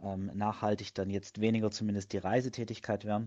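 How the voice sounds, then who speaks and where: Against a quiet background, a man speaks at a fairly low pitch with a dark, mellow tone. His intonation is monotone and flat at a moderate pace. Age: 30s. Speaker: fitness blogger and project manager. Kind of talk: interview. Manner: hesitant, frequent filler sounds.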